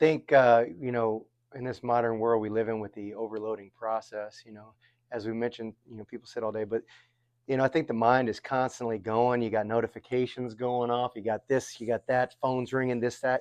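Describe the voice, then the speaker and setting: A medium-pitched man speaks at a fairly quick pace in a monotone, flat intonation, his loudness swinging widely, with a dry, close sound and no echo. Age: 40s. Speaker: podcast host. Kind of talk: casual chat.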